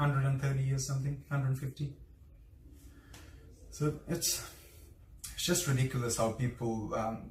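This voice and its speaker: A man talks at a moderate pace in a somewhat breathy voice. His intonation is fairly even, and he takes long, frequent pauses. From India. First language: Hindi. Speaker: vlogger. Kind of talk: casual interview. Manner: halting.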